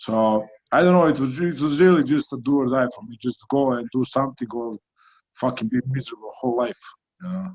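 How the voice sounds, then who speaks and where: A man speaks with a Croatian accent. The sound is dry and close, with no echo. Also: medium pitch for a man, ordinary pitch variation. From Croatia, small coastal town. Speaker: heavyweight boxer. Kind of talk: interview.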